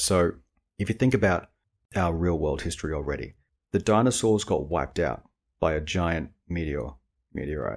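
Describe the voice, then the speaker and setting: Recorded very cleanly with a silent background, a man with a very deep, low pitch and vocal fry talks at a moderate pace, using lively intonation and long, frequent pauses. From Australia. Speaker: podcast host and indie author. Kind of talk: casual podcast monologue. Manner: rambling, filler-heavy informal speech.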